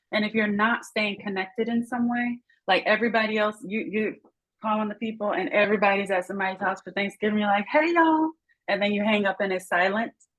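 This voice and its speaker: A somewhat breathy woman with an American accent, at a fairly high pitch and a very fast pace, with ordinary pitch variation. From United States. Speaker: international education professional. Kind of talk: panel conversation. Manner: animated.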